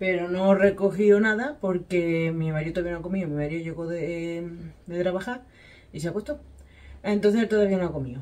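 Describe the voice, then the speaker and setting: Ordinary pitch variation in a fairly low-pitched female voice. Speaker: home cook vlogger. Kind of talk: casual vlog chat. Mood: relaxed, chatty. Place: kitchen. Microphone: camera far.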